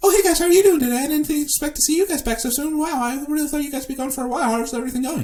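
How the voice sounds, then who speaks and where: Using a put-on character voice, a man talks very fast in an extremely high pitch over light background noise. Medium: actual play. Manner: fast, hyper, chattering.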